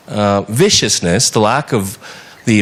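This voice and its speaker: A man with an American accent talks at a moderate pace in an unremarkable speaking voice. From United States. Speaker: TV journalist. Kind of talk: audience question at a panel discussion. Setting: conference hall with audience.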